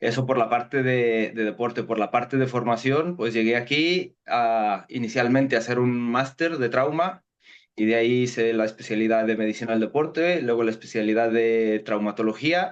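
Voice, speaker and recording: At a moderate pace and with hardly any pauses, a man with a slight Mexican accent keeps a very even loudness and ordinary pitch variation. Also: medium pitch for a man. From Mexico. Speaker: sports medicine doctor. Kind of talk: interview.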